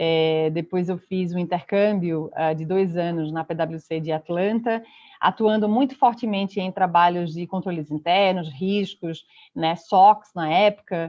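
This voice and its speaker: Her pitch is fairly low for a woman, with ordinary variation. She speaks at a fairly slow pace. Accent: Pernambuco. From Pernambuco, northeast Brazil. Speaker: consulting partner, speaker. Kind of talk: online conference talk.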